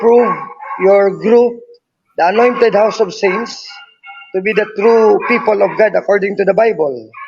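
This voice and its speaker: With music in the background, a man with a Filipino accent talks at a moderate pace in a high pitch. His intonation is fairly even and his loudness very even. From Philippines. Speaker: debater. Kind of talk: debate.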